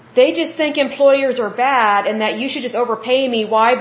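Speaking at a moderate pace with an American accent, a woman has a high pitch and ordinary pitch variation. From Oklahoma, US. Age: 30s. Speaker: podcast host. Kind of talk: solo podcast monologue, reading info and giving opinions. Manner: conversational, casual.

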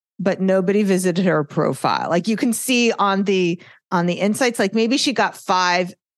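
A woman with a New York accent, medium pitch, moderate pace and very even loudness, over a quiet background. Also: ordinary pitch variation. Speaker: social media marketing consultant. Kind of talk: podcast interview. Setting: video podcast recording.

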